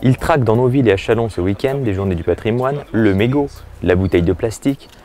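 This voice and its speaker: A normal speaking voice from a man, fairly low in pitch, with ordinary pitch variation. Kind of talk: local news voice-over.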